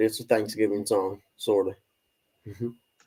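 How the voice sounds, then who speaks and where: This man has an American accent and a dark, mellow tone. He talks at a fairly quick pace with fairly even intonation. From Kentucky. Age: 50s. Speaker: live streamer. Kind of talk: casual chat. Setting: livestream.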